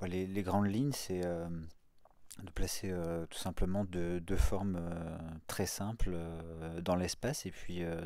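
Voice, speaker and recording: A man speaks very slowly, with a very deep, low pitch and a dark, mellow tone. His intonation is fairly even, and the sound is dry with no echo. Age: 40s. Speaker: multimedia artist; guest. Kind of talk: radio interview. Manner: hesitant, many fillers. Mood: calm, thoughtful. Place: studio.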